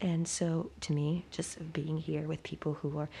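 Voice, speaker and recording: With vocal fry, a woman talks at a very deep, low pitch. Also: very clean recording, silent background. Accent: American. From West Virginia, US. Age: 20s. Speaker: university student. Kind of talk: interview.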